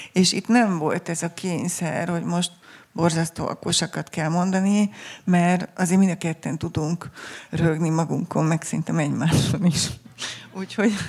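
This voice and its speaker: In an unremarkable speaking voice, a woman talks at a moderate pace with a fairly low pitch and fairly even intonation. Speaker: poet and author. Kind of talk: book presentation conversation, reads a poem. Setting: festival stage with audience.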